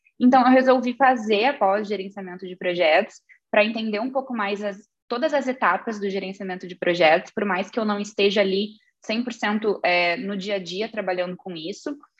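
At a moderate pace and medium pitch, a woman speaks with ordinary pitch variation and big swings in loudness. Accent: southern Brazilian. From southern Brazil, Rio Grande do Sul (Santa Vitória do Palmar). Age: 30s. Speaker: business executive. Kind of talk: interview.

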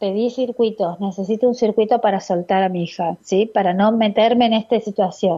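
Using an ordinary speaking voice, a woman talks with a fairly high pitch at a moderate pace. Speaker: radio host and biodecoding therapist. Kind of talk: radio call-in advice show. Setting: radio studio.

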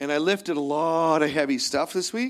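In a plain, everyday voice, a man speaks at a fairly high pitch and a moderate pace with ordinary pitch variation. The recording is very clean, with a silent background. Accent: Canadian. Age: 50s. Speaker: pastor. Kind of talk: sermon. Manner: casual.

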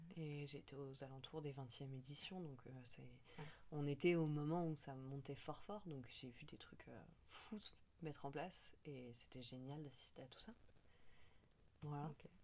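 Her voice is very deep and low for a woman, with a dark, mellow tone, a fairly slow pace, long, frequent pauses, big swings in loudness, and ordinary pitch variation. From Paris. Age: 30s. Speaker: cultural mediation worker. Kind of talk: casual interview. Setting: indoors at home.

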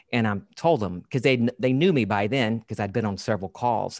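The recording is very clean with a silent background as a man speaks at a moderate pace, in a medium pitch with ordinary pitch variation. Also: dry, close sound with no echo. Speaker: podcast host. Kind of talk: interview conversation. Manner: engaging storyteller cadence.

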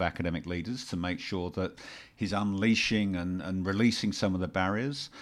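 Speaking with a British accent, a man with a very deep, low pitch uses ordinary pitch variation on a very clean recording with a silent background. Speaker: podcast co-host. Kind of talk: casual chat; interview. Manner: halting.

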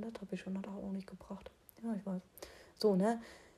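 A woman's somewhat breathy, dark, mellow tone of medium pitch at a fairly quick pace. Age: 20s. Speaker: solo podcast host. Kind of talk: casual solo monologue. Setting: at home late at night. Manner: animated; halting. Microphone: echoey room.

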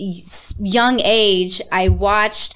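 Over noticeable background noise, a woman with a medium pitch speaks with ordinary pitch variation. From Las Vegas, Nevada. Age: 30s. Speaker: singer. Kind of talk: casual interview.

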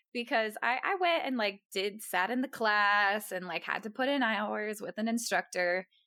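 A woman with an American accent speaks in a plain, everyday voice at a fairly high pitch and a moderate pace, with hardly any pauses. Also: ordinary pitch variation. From Texas. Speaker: podcast guest. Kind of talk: casual chat.

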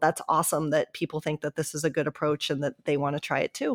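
A woman with an American accent and a plain, everyday voice speaks at a fairly low pitch with fairly even intonation in a very clean recording with a silent background and a dry, close sound with no echo. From US Midwest, Columbus, Ohio. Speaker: hockey writer. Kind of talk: interview.

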